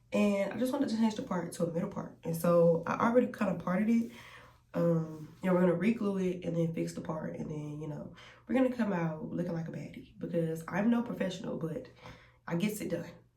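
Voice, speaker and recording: A woman with a fairly low pitch talks at a fairly quick pace with lively intonation. Audible room echo surrounds her voice. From US South, Columbus, Georgia. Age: 20s. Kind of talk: testimony. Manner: casual, chatty.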